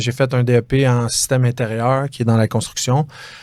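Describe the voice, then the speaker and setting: In a very clean recording with a silent background, a man with a medium-pitched voice talks at a moderate pace with fairly even intonation. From Quebec, South Shore of Montreal (Chambly). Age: 30s. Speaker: real estate broker, former fighter. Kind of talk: interview. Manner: hesitant, many fillers.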